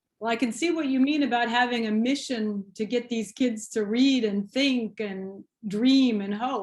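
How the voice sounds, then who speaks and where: Delivered in a normal speaking voice, the speech moves at a fairly slow pace with ordinary pitch variation and hardly any pauses. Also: woman, fairly high pitch for a woman. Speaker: museum director and podcast host. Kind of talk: podcast interview host.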